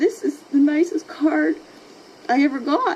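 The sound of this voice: Putting on a character voice, a woman speaks at a moderate pace with a high, shaky pitch and lively intonation.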